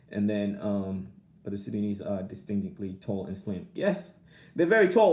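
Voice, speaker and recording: A man speaks in a dark, mellow tone, his pitch swinging very widely. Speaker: vlogger. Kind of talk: casual live stream chat. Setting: live stream. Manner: repetitive, halting.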